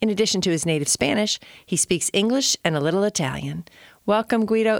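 A woman talking at a very fast pace, with lively intonation. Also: dry, close sound with no echo. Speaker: podcast host. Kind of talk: interview.

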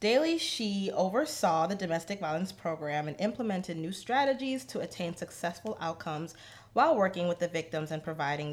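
Speaking in a plain, everyday voice, a woman talks at a fairly quick pace and fairly low pitch with lively intonation. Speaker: podcast co-host. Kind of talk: casual chat.

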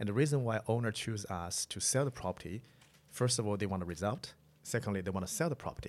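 Very fast speech from a man with a Chinese accent, in a very clean recording with a silent background. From China. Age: 40s. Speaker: real estate agent. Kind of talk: interview.

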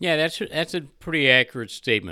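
On a very clean recording with a silent background, a man with an American accent has a bright, sharp tone and very wide pitch swings. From US Midwest, Chicago. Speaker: financial advisor, former banker. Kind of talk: interview.

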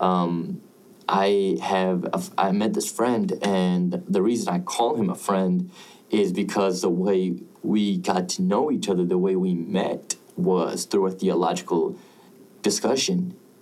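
A man speaks at a very slow pace, his loudness very even throughout. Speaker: podcast host. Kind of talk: solo podcast intro, casual monologue. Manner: halting, many fillers, unpolished; casual, upbeat, enthusiastic.

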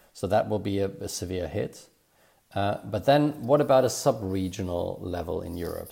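A man speaks at a moderate pace in a German accent, his fairly low voice dark and mellow, somewhat breathy, with ordinary pitch variation. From Germany. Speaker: economist at a think tank. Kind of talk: policy discussion podcast. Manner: hesitant, many fillers and repetitions.

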